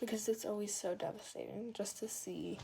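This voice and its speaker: The speaker is a woman. Her pitch is medium. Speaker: craft tutorial maker. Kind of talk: tutorial. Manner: casual, filler-heavy.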